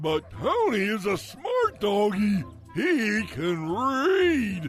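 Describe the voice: Over clear background music, a man in a cartoonish character voice talks very slowly at a high pitch.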